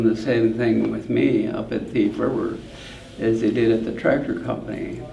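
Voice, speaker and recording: At a moderate pace, a man with an American accent talks through noticeable background noise and audible room echo. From US Upper Midwest, northwest Minnesota. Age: 80s+. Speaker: farm equipment company founder. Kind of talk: interview. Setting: farm show event.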